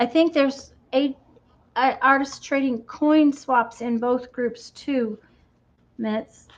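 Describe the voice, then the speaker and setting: A woman speaks very slowly in a high voice with an American accent, leaving long, frequent pauses. Her intonation is fairly even. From Michigan. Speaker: crafter and video host. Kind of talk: casual live-stream chat. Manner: halting, with many fillers.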